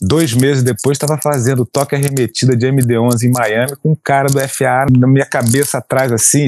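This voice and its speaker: The sound is dry and close with no echo as a man speaks at a medium pitch and moderate pace. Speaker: airline pilot. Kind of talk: casual chat. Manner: halting.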